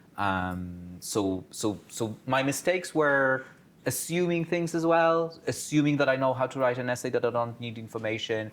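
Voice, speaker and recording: A man with a non-native accent, medium pitch and lively intonation at a moderate pace, in a very clean recording with a silent background. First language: not English. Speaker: career talk speaker, PhD holder. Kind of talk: panel talk to students.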